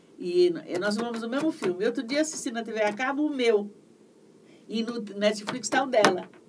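A woman's fairly high voice with ordinary pitch variation, at a moderate pace with long, frequent pauses, over noticeable background noise. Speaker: voice actress and dubbing director. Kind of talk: interview. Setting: livestream.

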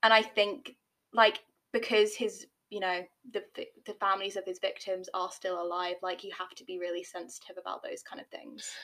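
A woman with a British accent, bright, sharp tone and fairly even intonation. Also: medium pitch for a woman, moderate pace, big swings in loudness. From Britain. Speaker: podcast co-host. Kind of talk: casual chat.

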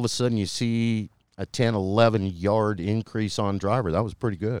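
With a plain, everyday voice, a man speaks at a fairly low pitch and a moderate pace with fairly even intonation. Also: very clean recording, silent background. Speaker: golf club fitting expert. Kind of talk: interview. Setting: golf fitting center.

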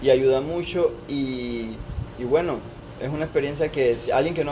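A man speaks with a fairly high pitch and fairly even intonation. There is noticeable background noise. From Panama (born in Costa Rica). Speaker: doctor training in internal medicine. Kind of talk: casual chat.

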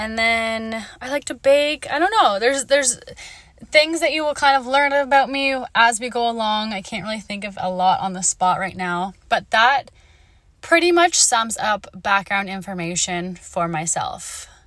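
Her voice fairly high for a woman, she speaks at a moderate pace in an animated tone, with very wide pitch swings and big swings in loudness. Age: 20s. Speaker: podcast host. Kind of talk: casual monologue.

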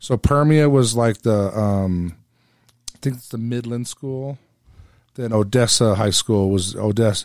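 A man with an American accent talks at a fairly slow pace in a normal speaking voice, at medium pitch with ordinary pitch variation. The sound is dry and close with no echo, and his loudness swings widely. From California. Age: 50s. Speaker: podcast host. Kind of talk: casual chat.

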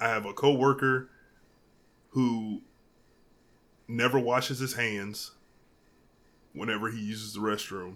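A man with a medium pitch speaks at a fairly slow pace, with long, frequent pauses. The recording is very clean, with a silent background. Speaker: podcast host and expectant father. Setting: home recording, dog in background. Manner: loud, excitable.

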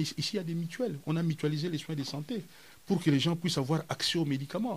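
This man's voice is somewhat breathy, and his intonation is lively. He speaks at a fairly quick pace. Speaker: cultural theorist. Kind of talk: interview.

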